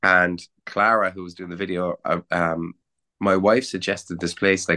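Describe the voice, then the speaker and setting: Against a quiet background with a dry, close sound and no echo, a man with a Cork accent speaks at a moderate pace in a very deep, low pitch, with monotone, flat intonation and a bright, sharp tone. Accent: Irish (Cork). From Cork, Ireland. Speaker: rock musician and songwriter. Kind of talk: casual interview chat.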